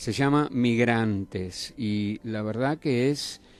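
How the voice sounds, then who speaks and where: Over background music, the delivery is very slow with fairly even intonation. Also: man. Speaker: radio host. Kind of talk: radio interview host.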